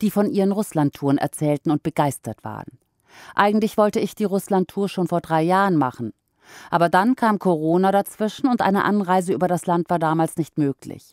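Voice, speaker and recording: An ordinary speaking voice from a woman, fairly low in pitch, with lively intonation at a moderate pace, recorded very cleanly against a silent background with a dry, close sound and no echo. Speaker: podcast narrator. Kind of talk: news article read aloud.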